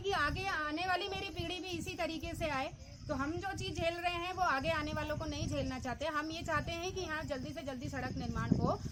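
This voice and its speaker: The intonation stays fairly even at a moderate pace. An audible room echo surrounds the voice. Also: woman. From Uttarakhand, Almora (Kumaon hills). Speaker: vlogger and interviewer. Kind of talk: on-location village interview vlog.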